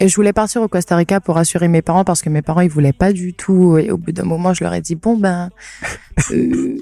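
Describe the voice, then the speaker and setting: Against noticeable background noise, a woman speaks at a fairly quick pace with fairly low pitch and fairly even intonation. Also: dry, close sound with no echo. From French Guiana, Cayenne. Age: 20s. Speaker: travel content creator. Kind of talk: casual interview. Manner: hesitant, many fillers.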